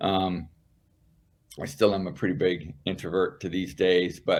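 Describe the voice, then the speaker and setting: A man speaks at a fairly slow pace in a fairly low voice. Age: 60s. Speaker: senior federal government executive and advocacy board member. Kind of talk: interview conversation.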